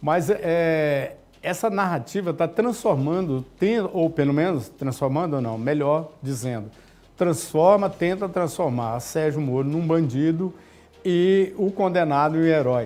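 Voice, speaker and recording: Dark and mellow in tone, a man's fairly high voice moves at a fairly slow pace with lively intonation. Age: 70s. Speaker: journalist, TV interviewer. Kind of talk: TV interview.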